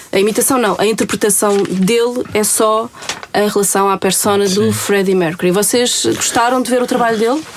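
A woman at a moderate pace, with very even loudness and fairly even intonation, over noticeable background noise. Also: medium pitch for a woman. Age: 40s. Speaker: radio host. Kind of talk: casual interview.

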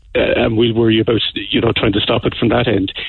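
This man's delivery is fairly quick. He has an Irish accent. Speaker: bank security expert. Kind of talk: radio interview. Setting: phone call.

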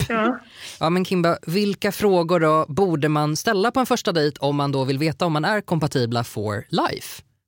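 A man with an ordinary speaking voice talks at a fairly high pitch and a moderate pace, with lively intonation, very even loudness and a dry, close sound with no echo. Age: 30s. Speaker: podcast host. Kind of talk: casual chat.

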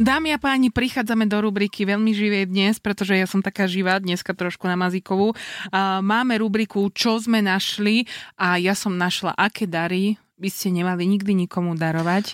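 A woman has a plain, everyday voice at medium pitch, with fairly even intonation, very even loudness and a moderate pace. The sound is dry and close with no echo. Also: very clean recording, silent background. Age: 30s. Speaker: radio show co-host. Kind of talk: casual chat.

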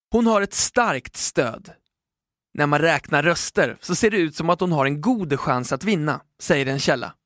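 A man with a normal speaking voice, fairly high in pitch, lively intonation, a fairly slow pace and a dry, close sound with no echo. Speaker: newspaper podcast host reading a feature article. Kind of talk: scripted narration.

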